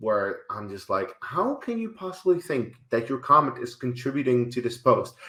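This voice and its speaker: A man speaks at a moderate pace with a Dutch accent. His pitch varies in an ordinary way. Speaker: YouTuber and film reviewer. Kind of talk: casual video commentary. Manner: animated.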